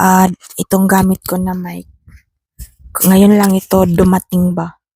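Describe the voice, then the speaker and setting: Very slow and monotone, a woman speaks at a medium pitch in a dark, mellow tone that is somewhat breathy. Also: dry, close sound with no echo. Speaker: small YouTuber, unboxing products. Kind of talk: casual unboxing vlog.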